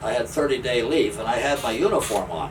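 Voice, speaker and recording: There is noticeable background noise behind this man with an American accent. His voice is fairly high-pitched, with lively intonation. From northeastern US, Pennsylvania and New Jersey. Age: 80s+. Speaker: retired railroader. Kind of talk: interview storytelling.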